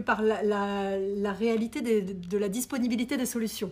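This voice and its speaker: Somewhat breathy, a woman's voice sits fairly high in pitch. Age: 30s. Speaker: program director. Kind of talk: interview. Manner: halting.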